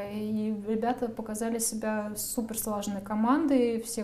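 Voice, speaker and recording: There is audible room echo and noticeable background noise. A woman talks at a fairly slow pace. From Russia, outside Moscow. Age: 30s. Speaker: media manager. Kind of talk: interview.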